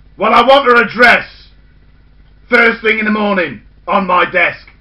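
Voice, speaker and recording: A man uses a put-on character voice pitched high. He talks at a moderate pace. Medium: read story. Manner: brusque, bossy.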